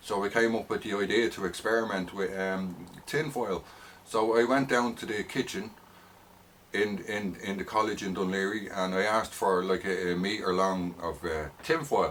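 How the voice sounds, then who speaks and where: With a strong Dublin accent, a man talks at a moderate pace and a fairly low pitch, using ordinary pitch variation. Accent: heavy north side Dublin. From Ireland, north side Dublin. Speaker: vlogger. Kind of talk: personal rant monologue. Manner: hesitant, many fillers and repetitions.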